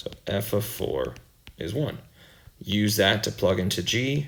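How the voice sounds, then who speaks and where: Audible room echo surrounds the speaker. He is a man with a fairly low pitch. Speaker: math teacher. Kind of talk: lecture.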